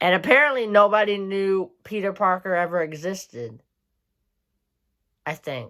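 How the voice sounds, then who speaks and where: A woman's medium-pitched voice, bright and sharp in tone, with lively intonation, a moderate pace, and long, frequent pauses on a very clean recording with a silent background. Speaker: YouTuber. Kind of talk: casual commentary. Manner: hesitant, filler-heavy.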